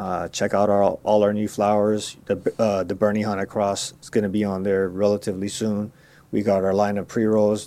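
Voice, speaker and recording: On a very clean recording with a silent background, a man with a Californian accent speaks at a moderate pace in a fairly low pitch, his intonation flat and monotone. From Los Angeles (Koreatown), then Marin County, Bay Area. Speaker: cannabis grower and brand owner. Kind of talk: casual interview. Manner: relaxed, filler-heavy.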